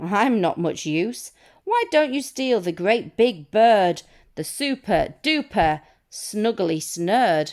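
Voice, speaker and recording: A female-sounding, put-on character voice, raised and projected, comes out at a fairly high pitch and a very slow pace. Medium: read story.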